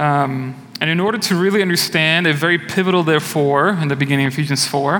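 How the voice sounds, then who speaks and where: There is noticeable background noise and audible room echo. A man speaks at fairly high pitch with fairly even intonation. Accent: Portuguese. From Brazil. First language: Portuguese. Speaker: church elder, lay preacher. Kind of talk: sermon. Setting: church.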